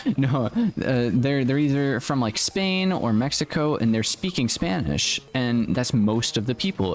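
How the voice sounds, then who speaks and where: Here a man speaks in a normal speaking voice at a medium pitch. His intonation is lively and his pace moderate. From United States. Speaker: gaming streamer. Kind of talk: live stream gaming chat. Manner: casual, rambling with fillers.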